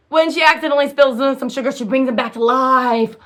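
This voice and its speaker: A high-pitched woman's voice with ordinary pitch variation. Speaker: self-published author. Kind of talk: casual vlog chat. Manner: fast; halting, many fillers.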